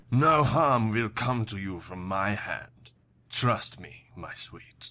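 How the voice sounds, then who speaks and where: A man's put-on character voice at medium pitch, very slow, with lively intonation and big swings in loudness. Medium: audio drama. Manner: silky, sardonic.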